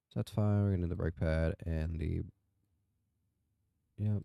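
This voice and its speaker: In a very clean recording with a silent background, a soft-spoken man with a very deep, low pitch speaks at a moderate pace in a calm, dark, mellow tone. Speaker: gaming youtuber. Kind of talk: gameplay commentary. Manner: calm, sleepy.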